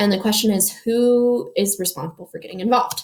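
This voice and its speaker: A woman talks in a somewhat breathy, fairly high voice with ordinary pitch variation. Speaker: high school history teacher. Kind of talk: lecture. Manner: fast; casual, filler-heavy.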